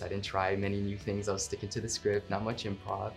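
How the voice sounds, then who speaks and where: Music plays in the background as a man with a fairly low pitch talks at a fairly quick pace. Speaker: voice actor. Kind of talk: interview answer.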